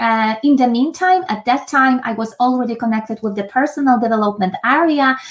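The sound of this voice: Talking at a fairly quick pace with a Polish accent, a woman has a fairly high pitch and ordinary pitch variation.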